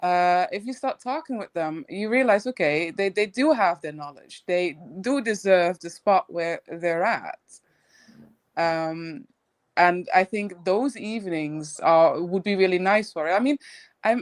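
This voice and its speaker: A woman with a non-native accent speaks at a fairly slow pace in a medium pitch, her intonation lively and the sound dry and close with no echo. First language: not English. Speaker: crypto commentator. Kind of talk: casual chat. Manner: halting.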